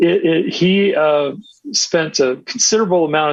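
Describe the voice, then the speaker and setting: A man's voice with lively intonation. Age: 60s. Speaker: author. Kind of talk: interview. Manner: halting, many fillers.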